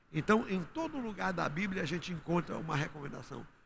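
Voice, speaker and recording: A man's lively intonation carries through audible room echo. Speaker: pastor. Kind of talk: sermon.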